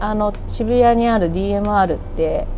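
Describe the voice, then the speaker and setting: A woman at medium pitch talks with lively intonation, with audible room echo and noticeable background noise. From Kanagawa, Japan (Yamato). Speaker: record shop manager and DJ. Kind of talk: casual interview chat. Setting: outdoors on a balcony.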